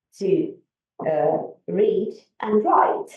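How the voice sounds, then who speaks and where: A woman speaks with a Finnish accent. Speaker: conference speaker, academic. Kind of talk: conference presentation. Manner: halting, many fillers and restarts.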